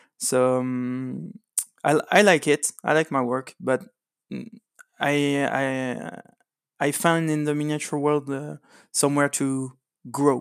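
Speaking with a French accent, a man talks at a fairly high pitch and a very slow pace, with ordinary pitch variation and long, frequent pauses. The sound is dry and close, with no echo. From France. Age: 30s. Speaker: miniatures painter. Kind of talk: interview. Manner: halting.

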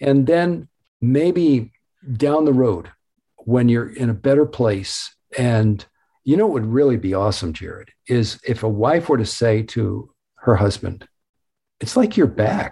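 On a very clean recording with a silent background, a man speaks slowly with long, frequent pauses in a dark, mellow, somewhat breathy tone. His pitch is medium and his intonation lively. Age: 70s. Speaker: author. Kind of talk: interview.

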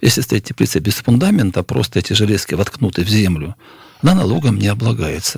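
This man talks at a moderate pace with a fairly low pitch and a somewhat breathy quality. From Stavropol region, southern Russia. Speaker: journalist. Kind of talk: radio panel discussion. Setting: studio.

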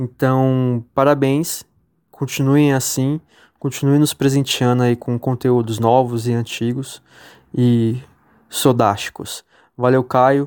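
A man speaks very slowly with long, frequent pauses and monotone, flat intonation, in a dry, close sound with no echo and a very clean recording with a silent background. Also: medium pitch for a man. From Brazil, São Paulo state. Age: 30s. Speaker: listener and supporter. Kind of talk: recorded tribute message.

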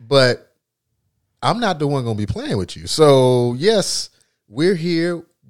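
A man with a fairly high pitch talks very slowly, his pitch swinging very widely. Long, frequent pauses break up the speech, and the recording is very clean with a silent background. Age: 40s. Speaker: podcast host. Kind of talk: casual chat.

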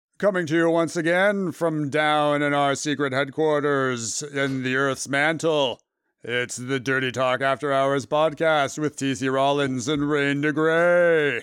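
Putting on a character voice, a man talks at a fairly slow pace with a fairly high pitch. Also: hardly any pauses, very clean recording, silent background. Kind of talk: dramatic. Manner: announcer voice.

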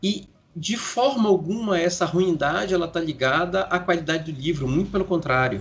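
Against noticeable background noise, a man talks at a high pitch and a moderate pace. His intonation is lively. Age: 40s. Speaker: writer and podcaster. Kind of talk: casual interview.

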